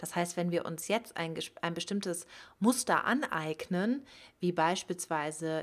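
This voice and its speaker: In a very clean recording with a silent background, a woman talks at a moderate pace. Her pitch is fairly low, with ordinary pitch variation. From Germany, Cologne area. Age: 30s. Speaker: podcast host, sex educator. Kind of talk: podcast monologue.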